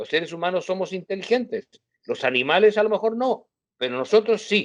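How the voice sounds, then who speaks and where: His voice is high for a man, and his intonation is lively. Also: fairly quick pace. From Chile. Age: 70s. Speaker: journalist. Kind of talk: interview.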